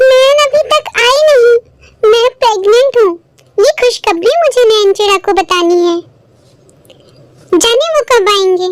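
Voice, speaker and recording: A woman uses a cartoonish character voice, extremely high in pitch with lively intonation and very even loudness, at a fairly slow pace with long, frequent pauses. The sound is dry and close with no echo. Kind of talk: children's cartoon voice acting.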